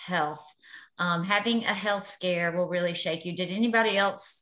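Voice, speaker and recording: A woman with a fairly low pitch uses an ordinary speaking voice with fairly even intonation over a quiet background. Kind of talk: personal testimony on group call. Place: home room. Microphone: video call.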